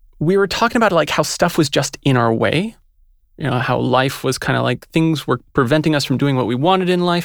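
Speaking at a fairly quick pace with lively intonation, a man with an unremarkable speaking voice and fairly high pitch is heard on a very clean recording with a silent background. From Montreal, Canada. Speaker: yoga teacher and writer. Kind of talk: casual chat. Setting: studio.

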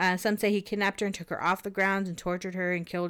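On a very clean recording with a silent background, a woman with an American accent talks very fast in a monotone, flat delivery at a medium pitch. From Southern California. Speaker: podcast co-host. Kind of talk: casual chat storytelling.

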